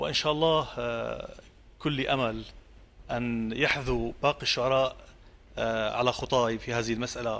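Long, frequent pauses break up fairly slow speech with ordinary pitch variation. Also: man. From Syria, coastal village. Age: 40s. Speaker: poet. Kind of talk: interview. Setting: outdoor theatre, live broadcast. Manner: halting. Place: studio.

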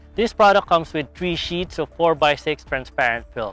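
The sound is dry with no echo, and faint music plays in the background. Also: man. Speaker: how-to channel host. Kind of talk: tutorial. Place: street. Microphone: lapel.

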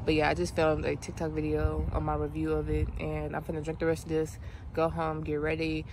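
A fairly quick pace with little pitch movement. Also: woman.

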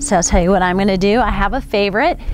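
With light background noise, a woman speaks at a moderate pace, the sound dry with no echo. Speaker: fitness instructor. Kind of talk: workout instruction. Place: open country.

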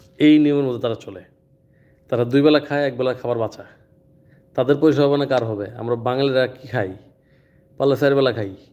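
Speaking at medium pitch with fairly even intonation, a man has an ordinary speaking voice that shows big swings in loudness. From Bangladesh. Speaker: vlogger living abroad, company country head. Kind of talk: personal vlog talk to camera.

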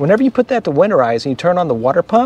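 Male voice with very wide pitch swings over light background noise. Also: dry sound with no echo. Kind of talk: casual vlog explanation. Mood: animated, recounting a problem. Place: street. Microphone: phone near.

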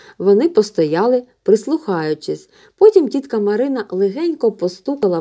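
This clip carries an unforced reading voice.

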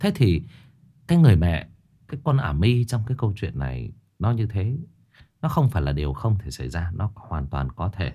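Over a quiet background, a man with a fairly low pitch and vocal fry swings his pitch very widely, leaving long, frequent pauses. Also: moderate pace. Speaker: horror story narrator, live streamer. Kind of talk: story introduction commentary. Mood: earnest, indignant. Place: home room. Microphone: studio mic.

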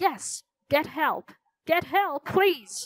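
This put-on character voice has an extremely high pitch. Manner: croaking.

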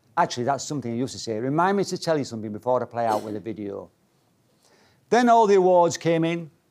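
A man speaks with a Yorkshire accent and lively intonation. The background is quiet. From Leeds, Yorkshire. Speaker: motivational speaker. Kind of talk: keynote talk. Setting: stage with audience. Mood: humorous storytelling. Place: meeting room.

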